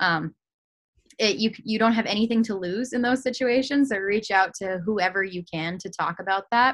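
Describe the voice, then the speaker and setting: A woman with an American accent in an ordinary speaking voice, medium in pitch, with ordinary pitch variation at a moderate pace. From New Hampshire, US. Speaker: hockey reporter. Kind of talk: casual interview.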